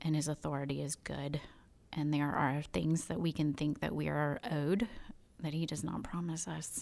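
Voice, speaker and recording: A woman with a Southern US accent speaks at a moderate pace in a very deep, low voice with ordinary pitch variation. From US South, Birmingham, Alabama. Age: 30s. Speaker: stay-at-home mom. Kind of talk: testimony.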